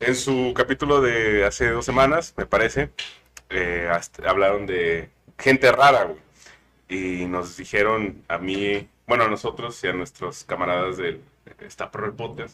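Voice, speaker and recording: With a bright, sharp tone and lively intonation, a man talks at a fairly slow pace. His pitch is fairly low. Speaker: podcast co-host, anthropologist. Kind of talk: casual chat. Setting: studio.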